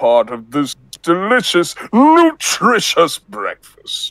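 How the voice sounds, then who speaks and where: A man puts on a character voice at a high pitch, speaking very slowly in a dry, close sound with no echo. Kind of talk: comic impression. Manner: pompous, announcer-like.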